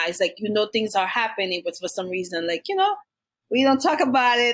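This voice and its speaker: A woman with a Haitian accent. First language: Haitian Creole or French. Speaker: domestic violence survivor and nonprofit founder. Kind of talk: podcast interview, personal testimony. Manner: hesitant, many fillers.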